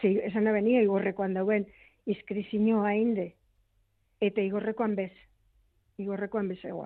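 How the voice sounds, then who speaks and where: With a monotone, flat intonation, a woman's voice stays at medium pitch. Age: 60s. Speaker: relative of missing civil war soldier. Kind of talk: radio interview.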